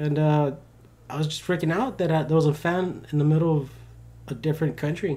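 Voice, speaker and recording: A man with a Spanish accent speaks at a fairly quick pace in a fairly high, dark, mellow voice, broken by long, frequent pauses. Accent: faint Spanish-tinged. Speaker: podcast co-host. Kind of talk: casual chat. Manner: animated.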